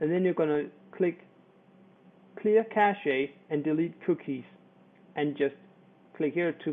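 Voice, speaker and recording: A man in a Danish accent at a fairly slow pace, with long, frequent pauses. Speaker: internet marketer. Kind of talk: tutorial. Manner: halting.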